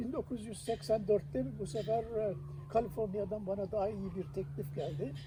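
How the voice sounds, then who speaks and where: A man speaks at a moderate pace with a high pitch and lively intonation. His tone is dark and mellow. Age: 80s+. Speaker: retired aerospace engineer. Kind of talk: interview answer. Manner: hesitant, many filler sounds.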